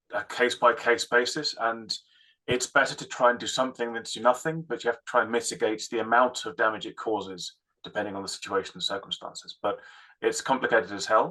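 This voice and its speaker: The speaker is a man going very fast. His volume rises and falls sharply. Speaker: audience member. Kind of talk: Q&A talk.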